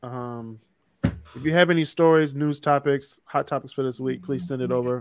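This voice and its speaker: This very clean recording has a silent background and a dry, close sound with no echo. A man with an American accent speaks at a moderate pace and medium pitch, with ordinary pitch variation, in an ordinary speaking voice. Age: 20s. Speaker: podcast host. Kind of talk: casual chat.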